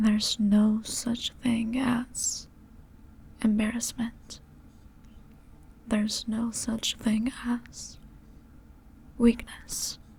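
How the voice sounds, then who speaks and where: A soft-spoken woman with a gentle tone talks very slowly in a monotone, flat way, leaving long, frequent pauses over noticeable background noise. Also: fairly high pitch for a woman. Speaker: ASMR creator. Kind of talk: comfort roleplay ASMR, sleep aid. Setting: close-mic headphone ASMR. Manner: soft, gentle, slow.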